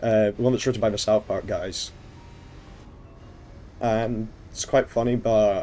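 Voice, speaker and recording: A man's medium-pitched voice at a moderate pace. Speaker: streamer. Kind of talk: casual talk to stream chat.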